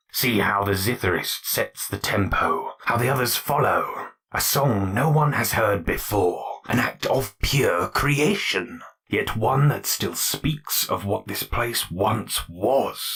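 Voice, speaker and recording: A man's put-on character voice at a fairly slow pace, with hardly any pauses. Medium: read story. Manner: measured, cultured.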